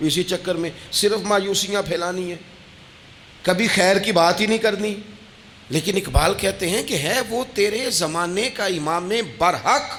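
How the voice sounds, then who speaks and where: This man speaks in a high voice whose pitch moves in an ordinary way. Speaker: Islamic preacher giving a sermon. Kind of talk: religious sermon (bayan). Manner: emotional, passionate.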